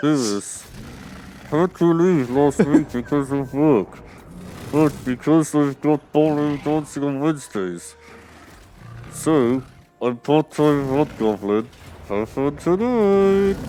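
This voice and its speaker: In a put-on character voice with a playful tone, a nasal, low-to-middle-pitched speaker goes at a fairly slow pace with long, frequent pauses while clear music plays in the background. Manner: silly, playful.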